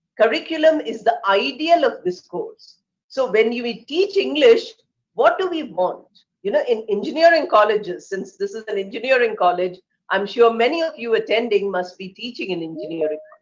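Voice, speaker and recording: With an Indian accent, a woman speaks at a moderate pace with a fairly high pitch, very wide pitch swings and big swings in loudness. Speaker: English professor. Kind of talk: lecture.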